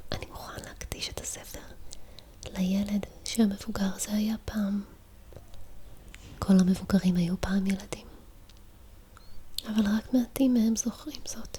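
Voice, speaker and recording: Whispering and soft-spoken, a woman talks at a fairly slow pace with long, frequent pauses and big swings in loudness. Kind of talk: book reading. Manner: whispered, soft-spoken.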